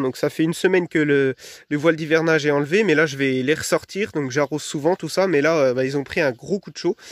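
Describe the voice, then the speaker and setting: A man at a very fast pace with ordinary pitch variation, in a dry, close sound with no echo. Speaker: vegetable gardening youtuber. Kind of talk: casual video talk to viewers. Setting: garden greenhouse, then outdoors. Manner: hesitant, many fillers.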